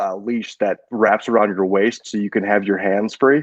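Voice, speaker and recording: Here a man has a normal speaking voice at medium pitch, with fairly even intonation at a moderate pace and a dry, close sound with no echo. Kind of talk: casual podcast banter.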